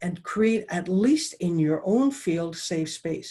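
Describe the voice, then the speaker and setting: Her voice is somewhat breathy, medium in pitch, and dark and mellow in tone. The woman speaks at a fairly slow pace. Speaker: professional dowser. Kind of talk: presentation. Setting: video call.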